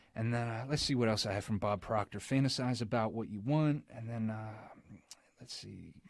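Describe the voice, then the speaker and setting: A man with an unremarkable speaking voice talks at a moderate pace, his pitch medium and his intonation fairly even, with an American accent. The recording is very clean, with a silent background. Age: 20s. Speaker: car salesman, podcast guest. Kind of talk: casual interview.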